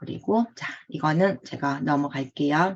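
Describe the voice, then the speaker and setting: The speaker has a strong Gyeongsang accent and talks at a very slow pace. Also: woman. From Gyeongsang province, South Korea. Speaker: online trading course instructor. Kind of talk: online lecture. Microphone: checking for echo.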